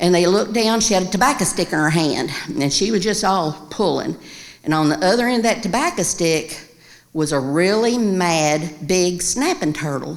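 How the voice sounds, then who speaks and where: A woman with a Kentucky accent speaks at a moderate pace in a medium pitch, her intonation lively and her loudness very even. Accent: Kentucky Southern American. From Winchester, Kentucky. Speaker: storyteller. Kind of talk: live storytelling performance.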